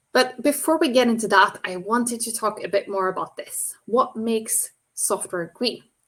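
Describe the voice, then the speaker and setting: Speaking with a non-native accent, a woman keeps a moderate pace and ordinary pitch variation. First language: not English. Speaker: software engineer and green software speaker. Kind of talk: presentation talk.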